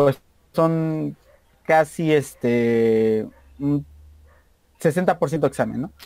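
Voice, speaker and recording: Here a man talks with a Mexican accent and lively intonation. The sound is dry and close, with no echo. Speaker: university student and musician. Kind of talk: casual interview chat. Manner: fast; stumbling over words.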